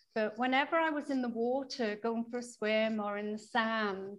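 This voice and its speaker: A woman with an unremarkable speaking voice, fairly high pitch, ordinary pitch variation, and a fairly slow pace. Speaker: interviewer host. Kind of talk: interview conversation.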